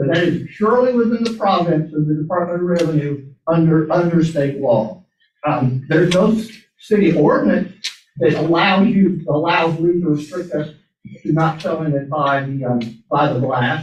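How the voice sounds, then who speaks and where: Audible room echo surrounds a man whose fairly high pitch moves with ordinary variation. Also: moderate pace. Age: 60s. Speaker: business owner appealing at a public zoning hearing. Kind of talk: public comment at a zoning appeals meeting. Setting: city board meeting. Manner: halting, with many repetitions.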